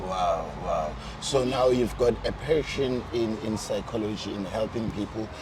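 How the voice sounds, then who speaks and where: At a fairly slow pace, a man speaks at a medium pitch with ordinary pitch variation, against noticeable background noise and audible room echo. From South Africa. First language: not English. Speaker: interview host. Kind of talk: casual interview.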